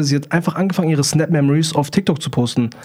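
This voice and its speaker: Very fast man's voice, fairly high in pitch, somewhat breathy, with a dark, mellow tone and fairly even intonation. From Germany, near Hanover. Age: 20s. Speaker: TikTok livestreamer. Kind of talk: casual interview chat.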